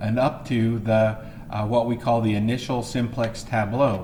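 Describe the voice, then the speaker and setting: There is audible room echo as a man speaks at a moderate pace. His medium-pitched voice keeps fairly even intonation. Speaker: math teacher. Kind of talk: lecture. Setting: empty classroom, recorded video. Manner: halting, many fillers.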